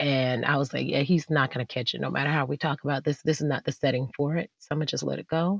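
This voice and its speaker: With an American accent and a very deep, low pitch, a woman rushes at a very fast pace with hardly any pauses and vocal fry, in a dry, close sound with no echo. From South Florida. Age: 30s. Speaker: singer and stage actor. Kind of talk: casual chat. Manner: animated.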